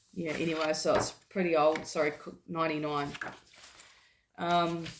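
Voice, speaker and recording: The voice comes at a moderate pace in flat, monotone intonation, with audible room echo. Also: woman, fairly low pitch for a woman. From New Zealand. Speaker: health vlogger. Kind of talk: casual talk to camera with reading aloud. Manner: halting, many fillers.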